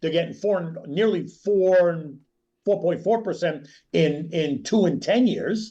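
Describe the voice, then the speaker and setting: A man's high voice at a fairly slow pace, with ordinary pitch variation and very even loudness. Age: 60s. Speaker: stock market analyst. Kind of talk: interview.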